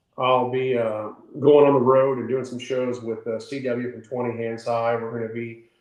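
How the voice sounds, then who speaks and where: With an American accent, a man of medium pitch speaks at a moderate pace in a monotone, flat delivery. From southern Indiana. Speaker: songwriter and retired military veteran. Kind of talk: interview. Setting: studio.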